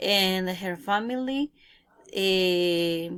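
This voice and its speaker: Very slowly, a woman with a Colombian accent speaks at a medium pitch. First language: Spanish. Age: 20s. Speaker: English learner. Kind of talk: self-introduction practice. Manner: halting.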